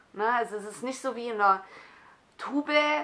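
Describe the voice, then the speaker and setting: Bright and sharp in tone, a woman speaks at a moderate pace with a fairly high pitch and ordinary pitch variation. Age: 40s. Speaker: skincare YouTuber. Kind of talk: product review vlog. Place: home room. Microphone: phone near.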